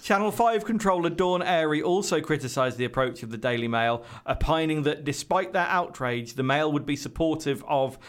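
Speaking with a British accent, the voice has lively intonation at a moderate pace. The recording is very clean with a silent background. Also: man. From Britain. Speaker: podcast co-host. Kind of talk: reading aloud.

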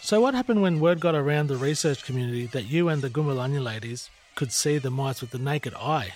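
Over noticeable background noise, a man with an Australian accent talks at a very fast pace, his fairly high pitch showing ordinary pitch variation. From Shepparton, Victoria, Australia. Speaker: podcast host. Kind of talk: interview conversation. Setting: studio.

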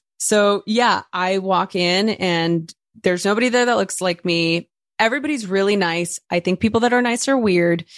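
Using ordinary pitch variation at medium pitch, a woman speaks at a moderate pace and very even loudness, in a dry, close sound with no echo and a very clean recording with a silent background. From East Los Angeles, US. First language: Spanish. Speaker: guest sharing personal story. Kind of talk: casual interview chat.

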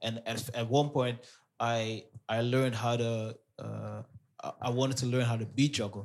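With a Dutch accent, the speaker keeps a moderate pace and monotone, flat intonation, broken by long, frequent pauses. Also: man, medium pitch for a man. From Amsterdam, Netherlands (Surinamese parents). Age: 30s. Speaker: DJ. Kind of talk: casual interview.

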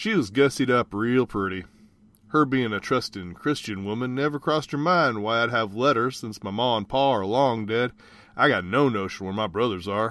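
A man speaks at a moderate pace with ordinary pitch variation in a plain, everyday voice. The recording is very clean, with a silent background. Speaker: voice actor. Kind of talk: reading aloud. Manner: folksy character voice.

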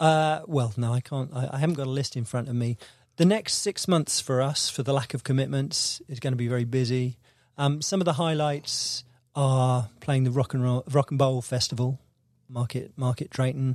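The speaker has a slight Devon accent. The pace is moderate and the pitch varies in an ordinary way. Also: man, medium pitch for a man. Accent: slight Devon accent, barely detectable. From Devon, south-west England. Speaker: musician, band leader. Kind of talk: casual interview chat. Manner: halting, with many repeated words.

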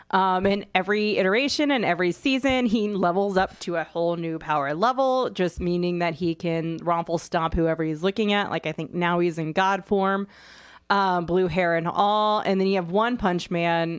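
At a moderate pace and with ordinary pitch variation, the woman talks in an unremarkable speaking voice. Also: medium pitch for a woman. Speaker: podcast co-host. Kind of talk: casual chat about comics and movies.

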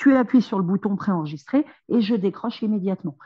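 Speaking very fast, a woman sounds somewhat breathy. Her words come quickly. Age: 30s. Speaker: social worker and single mother. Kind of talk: interview testimony.

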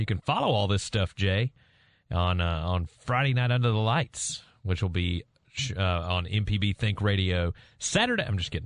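In a Southern US accent, a man speaks at a moderate pace with a fairly low pitch and ordinary pitch variation, set against a quiet background. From Mississippi. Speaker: sports radio co-host. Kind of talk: casual sports talk. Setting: radio studio.

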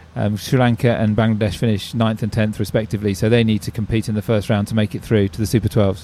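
Talking at a very fast pace with hardly any pauses, a man with an English accent uses a fairly low pitch, a dark, mellow tone and fairly even intonation. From England. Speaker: cricket tournament chief executive. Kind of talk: interview.

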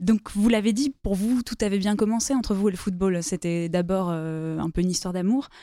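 Her dark, mellow voice sits at a medium pitch for a woman, with ordinary pitch variation and hardly any pauses. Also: moderate pace. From southern France, Toulouse. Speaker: journalist and podcast host. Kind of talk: interview; reading aloud.

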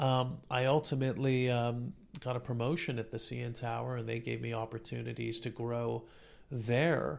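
The speaker is a man with a plain, everyday voice and a Canadian accent. His pitch is medium, his pace moderate and his intonation fairly even. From Canada, Toronto. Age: 40s. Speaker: career consultant and instructor. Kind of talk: casual interview.

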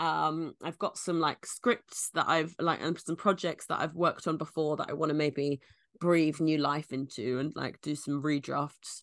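A woman talks with a London accent against a quiet background. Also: dry, close sound with no echo. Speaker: comedian. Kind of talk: casual chat. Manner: halting, filler-heavy.

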